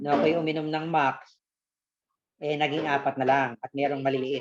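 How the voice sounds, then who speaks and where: Monotone, flat intonation runs through this man's speech. He keeps to a moderate pace at a fairly high pitch. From Philippines, Quezon province. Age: 60s. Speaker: customer. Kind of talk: testimony.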